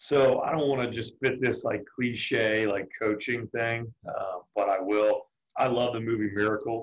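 At a fairly slow pace with hardly any pauses, a man speaks in a normal speaking voice with an American accent and fairly even intonation. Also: medium pitch for a man. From Richmond, Virginia. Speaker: college baseball pitching coach. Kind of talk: interview.

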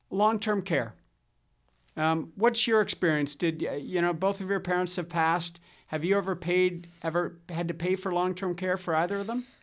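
At a moderate pace, a speaker with a Canadian accent talks in a very clean recording with a silent background. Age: 60s. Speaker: financial advisor podcast host. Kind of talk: casual chat.

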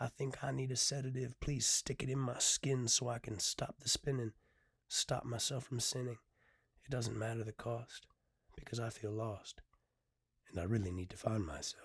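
Dry and close with no echo, a man's medium-pitched, somewhat breathy voice has an intense tone, ordinary pitch variation and a moderate pace. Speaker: poet and podcaster. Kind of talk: solo podcast talk, some poetry reading; poem performed, rhythmic rhyming spoken-word delivery, intimate and confessional. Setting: filming video podcast with camera and mic. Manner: hesitant, filler-heavy, earnest; rhythmic, brooding, intense spoken-word cadence in the poem.

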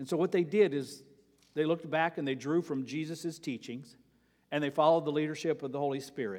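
A man with an ordinary speaking voice, fairly high in pitch, fairly quick in pace, with ordinary pitch variation. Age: 60s. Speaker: pastor. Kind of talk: sermon. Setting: church.

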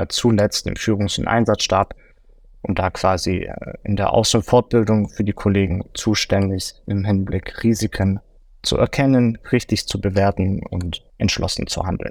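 The sound is dry and close, with no echo. The delivery comes at a very slow pace. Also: man. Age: 30s. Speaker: forensic consultant, former police officer. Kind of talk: interview.

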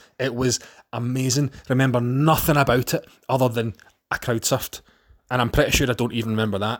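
A man's medium-pitched voice with a Scottish accent, very fast, with fairly even intonation. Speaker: podcast host. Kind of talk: casual monologue.

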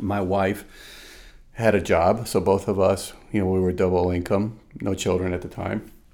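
Monotone and flat, a man with a Spanish accent speaks at a very deep, low pitch and a moderate pace. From Venezuela. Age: 50s. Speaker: consultant and woodworker. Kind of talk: casual interview. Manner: frequent fillers and repetitions.

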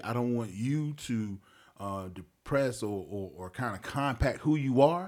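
A plain, everyday voice from a man with an American accent, medium pitch, lively intonation and a moderate pace. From Wilmington, North Carolina (north side). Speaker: radio host and community mentor. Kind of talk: casual interview conversation.

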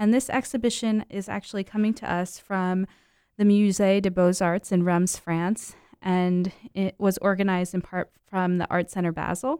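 At a moderate pace, a voice with an American accent and a dark, mellow tone keeps a fairly even intonation, the sound dry and close with no echo in a very clean recording with a silent background. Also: woman, medium pitch for a woman. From New Jersey (Mount Olive, northwest). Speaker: museum staff. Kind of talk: casual radio interview.

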